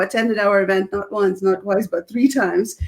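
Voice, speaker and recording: The speaker is a woman with a Russian accent. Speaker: speaking coach and business founder. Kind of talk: casual interview chat on live video. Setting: live video stream. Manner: animated.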